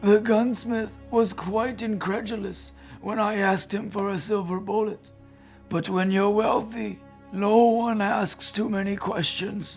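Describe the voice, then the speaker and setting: A raspy put-on character voice speaks at a fairly high pitch and fairly slow pace. Clear music plays in the background. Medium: short film. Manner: grave, formal, measured.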